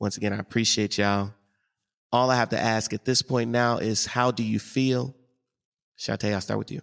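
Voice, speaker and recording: At a moderate pace, a man with an American accent speaks at medium pitch with fairly even intonation and long, frequent pauses, the sound dry and close with no echo. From St. Louis, US Midwest. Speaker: podcast host interviewing guests. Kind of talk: casual interview conversation.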